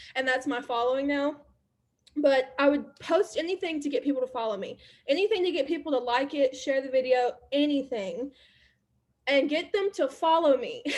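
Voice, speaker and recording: A high-pitched woman with lively intonation and an Alabama accent. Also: moderate pace. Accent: Southern US (Alabama). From US South, Alabama. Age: 20s. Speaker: network marketer and social media creator. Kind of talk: casual workshop talk.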